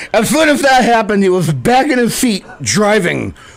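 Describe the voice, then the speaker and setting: A man speaks with a high-pitched voice and lively intonation. His pace is moderate. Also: very even loudness. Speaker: radio host. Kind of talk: humorous monologue narration.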